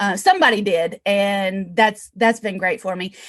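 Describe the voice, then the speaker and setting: A woman speaks against a quiet background. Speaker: real estate investor. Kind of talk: interview. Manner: fast; animated.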